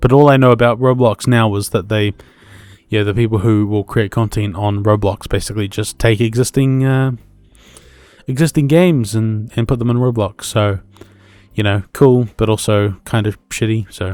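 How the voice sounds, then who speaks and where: Music plays behind a man with a New Zealand accent. His pitch is medium, his intonation fairly even, and his pace moderate. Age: 20s. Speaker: podcast host. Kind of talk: casual solo podcast monologue. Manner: hesitant, many fillers.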